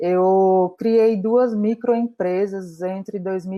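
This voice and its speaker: A woman at medium pitch with a northeastern Brazilian accent, very slow pace and fairly even intonation. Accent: northeastern Brazilian Portuguese, noticeable. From Brazil, Natal, Rio Grande do Norte. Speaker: entrepreneur and community mentor. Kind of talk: virtual community meetup talk.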